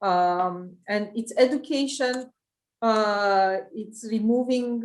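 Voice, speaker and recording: A woman with a Romanian accent at a very slow pace, her intonation fairly even. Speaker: private equity investor. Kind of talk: interview. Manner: halting, many fillers.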